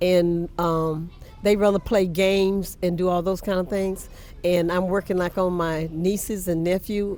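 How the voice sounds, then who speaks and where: With a South Carolina accent, a woman talks at a fairly slow pace in a dark, mellow tone and a flat, monotone delivery. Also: medium pitch for a woman. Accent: US Southern, South Carolina. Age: 80s+. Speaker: church historian. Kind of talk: interview.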